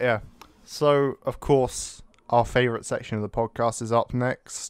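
A man speaks at a fairly slow pace with a British accent, his pitch medium. The intonation is monotone and flat, and the sound is dry and close with no echo. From Britain. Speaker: podcast co-host. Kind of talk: casual chat. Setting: Skype call.

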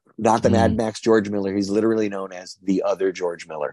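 A man with an American accent has a fairly low pitch and a dark, mellow tone. The sound is dry and close, with no echo. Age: 50s. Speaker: actor. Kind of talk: interview.

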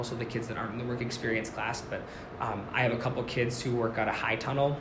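A man with an American accent speaks very fast at a medium pitch. Noticeable background noise and audible room echo are present. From Minnesota, Forest Lake (Twin Cities suburb). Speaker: first-year agriculture teacher. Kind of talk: casual interview chat.

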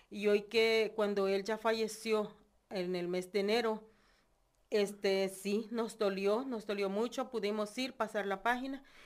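This woman has a fairly high pitch and a monotone, flat intonation. She talks at a fairly slow pace. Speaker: churchgoer sharing testimony. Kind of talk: testimony.

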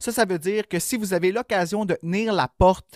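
A high-voiced man in a Quebec accent speaks at a moderate pace, the sound dry and close with no echo. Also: very clean recording, silent background. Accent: Québécois French. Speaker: horror podcast co-host. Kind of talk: casual chat.

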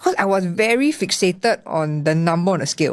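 A woman with a Singaporean accent speaks at a fairly quick pace in a fairly low pitch with lively intonation, on a very clean recording with a silent background. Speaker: content creator and body positivity founder. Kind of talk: interview. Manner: animated.

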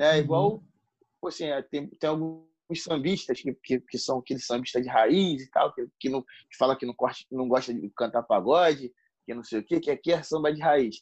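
A man with an ordinary speaking voice and a fairly high pitch talks at a moderate pace, with ordinary pitch variation, big swings in loudness, and a dry, close sound with no echo. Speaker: pagode singer and songwriter. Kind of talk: casual interview chat.

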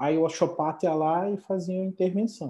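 Moderate pace and a dark, mellow tone from a man, against a quiet background. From Brazil, Paraná. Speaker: osteopath. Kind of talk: casual chat. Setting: video call.

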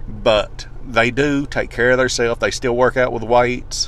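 A man at a fairly slow pace, with audible echo from the room. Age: 30s. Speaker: podcast host. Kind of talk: solo podcast monologue. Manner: casual, stumbling.

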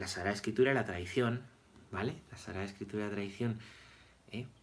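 Speaking at a fairly quick pace, this man sounds somewhat breathy and shows ordinary pitch variation. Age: 30s. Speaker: priest. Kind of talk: catechesis lecture. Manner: repetitive, conversational.

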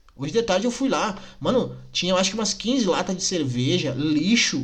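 A man's fairly high, animated voice with very wide pitch swings, vocal fry and audible room echo. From Rio Grande do Sul, Brazil (Nova Petrópolis). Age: 20s. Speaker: podcaster. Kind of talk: casual monologue rant. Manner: animated, indignant.

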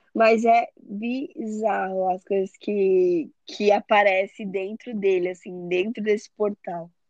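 Recorded dry and close with no echo, a woman speaks at a very slow pace with hardly any pauses. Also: medium pitch for a woman, ordinary pitch variation. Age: 20s. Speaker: photographer and digital influencer. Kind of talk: casual chat.

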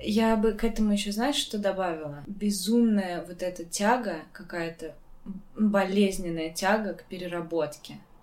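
A woman speaks at a moderate pace and a medium pitch, with ordinary pitch variation and audible room echo. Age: 20s. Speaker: podcast host. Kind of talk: casual chat.

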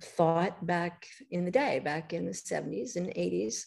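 With an American accent, a woman speaks in a fairly low, dark and mellow voice. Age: 70s. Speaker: author and healthy-eating advocate. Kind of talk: casual interview chat.

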